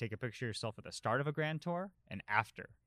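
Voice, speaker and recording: In a plain, everyday voice with an American accent, a man talks at a fairly quick pace with lively intonation, the sound dry and close with no echo on a very clean recording with a silent background. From Colorado, US. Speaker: professional cyclist. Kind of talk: casual chat.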